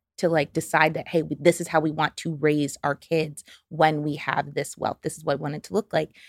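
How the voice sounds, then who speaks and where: The speaker has a New York accent and talks at a fairly quick pace. The recording is very clean with a silent background and a dry, close sound with no echo. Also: woman. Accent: American, New York. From upstate New York (Albany). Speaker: financial therapist. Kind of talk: casual interview chat.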